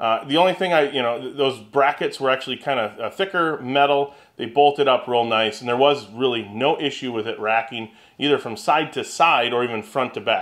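A man, heard over a quiet background, has ordinary pitch variation and a fairly quick pace. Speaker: woodworking channel host. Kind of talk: casual vlog chat. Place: workshop.

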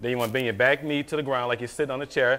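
Words come at a very fast pace in a bright, sharp tone with fairly even intonation. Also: man, medium pitch for a man.

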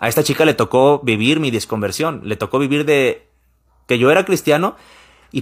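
With the background kept quiet, a man delivers his words fairly quickly and with lively intonation. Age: 30s. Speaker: YouTuber. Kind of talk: personal advice vlog. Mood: calm, reflective. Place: home room. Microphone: studio mic.

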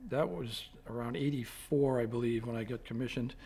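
Intonation stays fairly even as a man speaks at a moderate pace. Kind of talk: interview answer. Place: office.

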